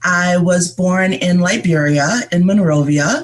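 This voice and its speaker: A woman with an American accent speaks at a fairly low pitch. Noticeable background noise is present. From upstate New York, US. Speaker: writer and mental health advocate. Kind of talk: interview.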